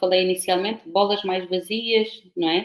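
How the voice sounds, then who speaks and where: A woman speaks at a medium pitch. She has a European Portuguese accent. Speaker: professor. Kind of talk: lecture.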